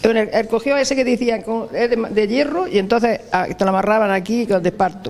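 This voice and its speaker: The speaker goes at a fairly quick pace with hardly any pauses, over noticeable background noise. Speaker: elderly villager. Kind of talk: interview recollection. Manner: halting.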